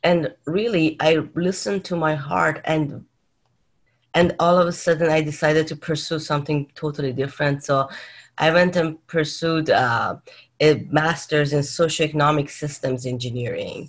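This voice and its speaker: A woman speaks in a very deep, low voice. Her pace is moderate and her pitch varies in an ordinary way. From Iran (Tehran). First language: Persian. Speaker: leadership coach and mindfulness educator. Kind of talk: interview conversation.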